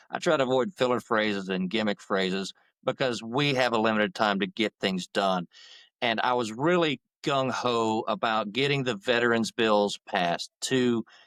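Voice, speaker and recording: On a very clean recording with a silent background and a dry, close sound with no echo, a man with a Southern accent speaks at a moderate pace, his medium pitch showing ordinary variation and his loudness very even. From Georgia, US South. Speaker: attorney and veterans' advocacy group president. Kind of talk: interview. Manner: talkative, long-winded.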